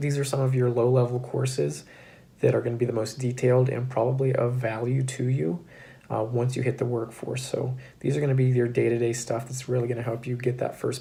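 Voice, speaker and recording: A man talks at a fairly quick pace in a medium pitch with monotone, flat intonation, a dark, mellow, somewhat breathy tone and audible room echo. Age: 20s. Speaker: cybersecurity graduate and YouTuber. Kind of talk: casual explainer to camera. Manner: casual with frequent fillers.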